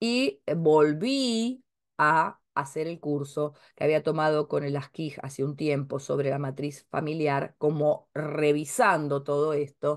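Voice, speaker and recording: A woman's very deep, low voice at a very slow pace, with ordinary pitch variation over a quiet background. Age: 50s. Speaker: astrologer and family-tree course teacher; spiritual teacher. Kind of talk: casual talk to camera. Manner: hesitant, many filler sounds. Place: home room. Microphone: webcam.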